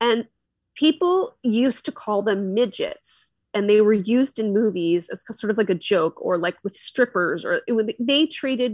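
In a normal speaking voice, a woman with an American accent talks at a moderate pace and fairly high pitch, her intonation lively, the sound dry and close with no echo against a quiet background. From Philadelphia, US. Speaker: podcaster. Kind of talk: casual interview chat. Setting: video call.

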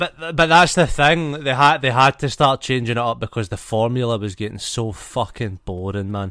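A man speaks at medium pitch and a moderate pace in a playful, bright and sharp tone, with hardly any pauses, on a very clean recording over a silent background. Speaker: podcast host. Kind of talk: casual banter chat. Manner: joking, swearing, playful.

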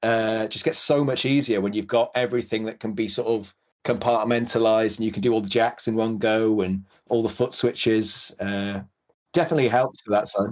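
A man with a Welsh accent speaks at a moderate pace and a medium pitch. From Wales. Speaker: podcast host and pedal builder. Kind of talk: casual podcast chat.

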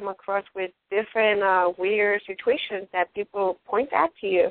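This woman talks at a moderate pace in a medium pitch. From Ecuador. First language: Spanish. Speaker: radio host. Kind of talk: casual talk show hosting. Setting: online radio show.

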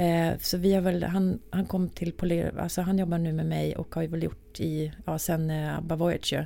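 A woman speaks in a fairly low, dark, mellow voice with monotone, flat intonation. She keeps a moderate pace with hardly any pauses. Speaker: music industry executive. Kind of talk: casual interview.

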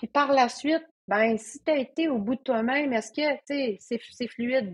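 A woman speaks with a Quebec accent. Her pace is very slow. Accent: Québécois French. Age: 40s. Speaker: trail runner and coach. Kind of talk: casual chat.

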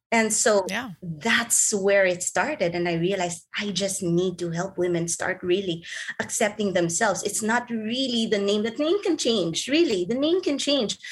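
Speaking at a moderate pace, a woman with a medium pitch and a somewhat breathy voice uses lively intonation. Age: 40s. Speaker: life coach. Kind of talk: interview.

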